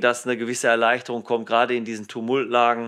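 Over a quiet background, a man speaks at medium pitch. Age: 50s. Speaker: police dog handler and trainer. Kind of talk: casual interview. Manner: hesitant, many fillers.

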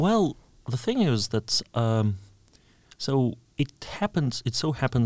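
Speaking at a fairly slow pace, a man with a Russian accent sounds dry and close, with no echo. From Russia, Orel region. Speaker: university lecturer. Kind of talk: interview.

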